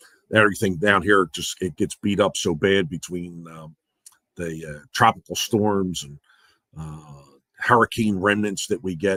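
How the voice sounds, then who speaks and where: A man's very deep, low voice with fairly even intonation and big swings in loudness at a fairly slow pace, dry and close with no echo, on a very clean recording with a silent background. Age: 60s. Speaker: vlogger. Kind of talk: casual live-stream chat. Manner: hesitant, many fillers.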